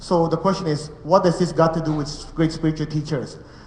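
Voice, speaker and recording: High-pitched male speech with fairly even intonation, audible room echo and noticeable background noise. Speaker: meditation teacher. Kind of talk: spiritual lecture. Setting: room with live audience and translators. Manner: fast.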